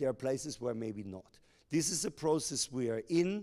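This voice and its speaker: A man with a German accent speaks at a moderate pace in a dark, mellow tone. The recording is very clean, with a silent background. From Germany. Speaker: company executive. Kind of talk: public Q&A.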